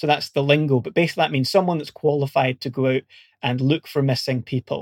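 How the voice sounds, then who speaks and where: Recorded very cleanly against a silent background, with a dry, close sound and no echo, a man with a Scottish accent and a fairly high pitch speaks very fast in a fairly even tone. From Scotland. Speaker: search and rescue volunteer and academic. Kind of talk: interview.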